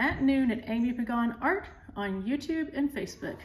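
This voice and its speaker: A woman with an American accent speaks at a high pitch and moderate pace with ordinary pitch variation, with audible room echo around her. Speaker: art teacher. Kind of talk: tutorial. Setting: pre-recorded at home. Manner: quiet.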